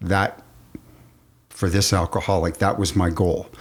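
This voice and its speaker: In a very clean recording with a silent background, a man speaks in a very deep, low pitch with flat, monotone intonation. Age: 70s. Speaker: recovering alcoholic guest. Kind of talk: interview about sobriety.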